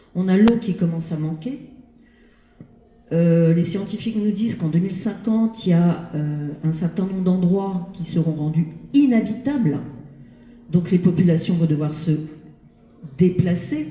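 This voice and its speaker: A woman's fairly low, dark, mellow voice, somewhat breathy, at a fairly slow pace with long, frequent pauses. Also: ordinary pitch variation. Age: 60s. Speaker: audience member. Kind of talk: audience question. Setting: library event with audience.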